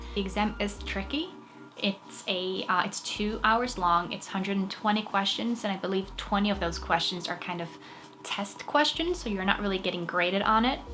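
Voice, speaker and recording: A woman with a Norwegian accent at a moderate pace, amid audible room echo and noticeable background noise. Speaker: actress and fitness vlogger. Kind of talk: tutorial. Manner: casual.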